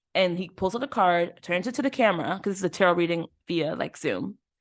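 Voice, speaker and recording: A woman with a plain, everyday voice speaks at a fairly quick pace, her medium pitch showing ordinary variation in a dry, close sound with no echo. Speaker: podcast host. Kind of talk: casual chat.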